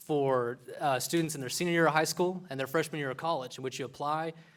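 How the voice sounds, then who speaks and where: A man talks at a very fast pace in a Texan accent. His voice sits at a fairly high pitch. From Texas panhandle, Borger. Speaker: medical student. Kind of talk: public speech.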